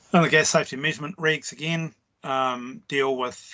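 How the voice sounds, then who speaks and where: At a fairly slow pace, a man with a New Zealand accent speaks at medium pitch with ordinary pitch variation over a quiet background. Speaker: trade tutor. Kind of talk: online lecture. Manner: hesitant, many fillers.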